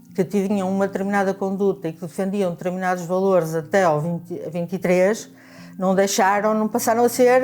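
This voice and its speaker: A woman's voice with music in the background. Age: 70s. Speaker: retired bank clerk, anti-dictatorship activist. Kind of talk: oral history testimony. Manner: halting, many repetitions and fillers.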